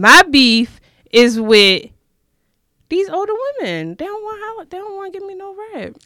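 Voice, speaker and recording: A woman speaks in a raised, projected voice at an extremely high pitch, with a bright, sharp tone. Her pitch swings very widely and her loudness swings a lot, with long, frequent pauses. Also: moderate pace. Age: 20s. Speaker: podcast co-host. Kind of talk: casual chat. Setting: studio.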